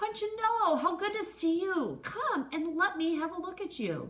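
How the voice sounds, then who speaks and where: A woman puts on a squeaky character voice at an extremely high pitch, speaking at a moderate pace. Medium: read story. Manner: warm, kindly.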